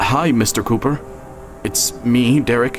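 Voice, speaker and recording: A man's voice with music in the background. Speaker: voice actor and narrator. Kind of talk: audio drama narration, first-person story.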